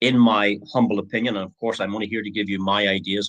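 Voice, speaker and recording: Fairly quick in pace, a man speaks with a fairly low pitch. His intonation stays fairly even. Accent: Northern Irish. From Northern Ireland. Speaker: online business presenter. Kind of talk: sales pitch. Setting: live stream. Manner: hesitant, many fillers.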